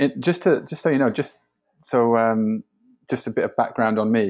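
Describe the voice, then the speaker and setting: A Yorkshire accent with ordinary pitch variation, over a quiet background. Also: man. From northern England, Sheffield. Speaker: digital strategy consultant. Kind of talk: podcast interview. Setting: remote call from home.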